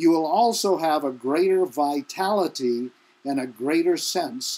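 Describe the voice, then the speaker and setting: Very clean and recorded against a silent background, a man's dark, mellow voice moves at a fairly slow pace with lively intonation. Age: 70s. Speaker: self-help teacher. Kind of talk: motivational talk.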